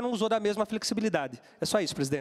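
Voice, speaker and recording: This man's voice is high, his delivery very fast and his intonation lively. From Brazil. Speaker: city councillor. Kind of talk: heated debate. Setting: city council chamber. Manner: formal. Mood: irritated, reproachful. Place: hall. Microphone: handheld.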